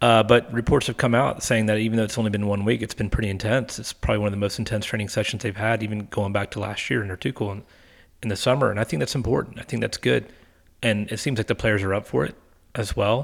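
Very fast and fairly low-pitched, a man with an American accent talks with ordinary pitch variation on a very clean recording with a silent background. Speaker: football podcast co-host. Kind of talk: casual chat.

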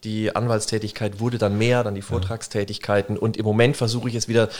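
A man's fairly low voice at a very fast pace. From Germany, Würzburg (Lower Franconia). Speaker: business lawyer and author. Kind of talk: interview. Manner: animated.

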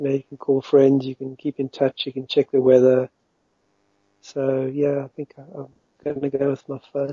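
A man speaks in a monotone with flat intonation and a fairly high pitch. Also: moderate pace, big swings in loudness. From South Africa, Western Cape. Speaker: paraglider pilot and marketer. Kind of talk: interview.

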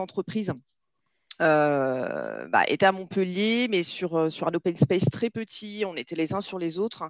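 A woman talks at a very slow pace. Her pitch is fairly low, with ordinary pitch variation. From southern France, Nîmes. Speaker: recruitment manager. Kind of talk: interview.

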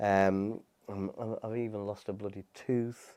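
A man's fairly low, dark, mellow voice with a British accent, at a moderate pace with monotone, flat intonation, in a very clean recording over a silent background. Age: 40s. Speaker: property investor and business coach. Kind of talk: casual interview chat.

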